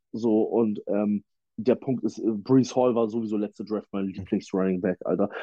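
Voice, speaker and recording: A man at a moderate pace, fairly low-pitched, with monotone, flat intonation. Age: 30s. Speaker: football fan guest, former player. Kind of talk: casual sports chat.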